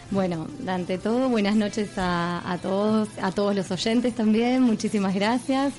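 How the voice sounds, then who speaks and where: Music plays in the background as a woman speaks at a moderate pace in a medium pitch with ordinary pitch variation. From Argentina. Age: 30s. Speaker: yoga teacher. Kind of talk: radio interview.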